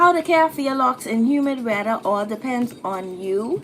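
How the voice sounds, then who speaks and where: A woman with a Bahamian accent at a fairly slow pace, lively in intonation, against noticeable background noise. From Bahamas. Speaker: YouTuber answering hair and style questions. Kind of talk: live stream Q&A. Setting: live stream. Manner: casual, chatty.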